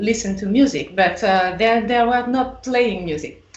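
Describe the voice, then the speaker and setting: The speaker has a French accent and lively intonation. Room echo is audible. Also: woman. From France. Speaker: electric violinist. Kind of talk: podcast interview.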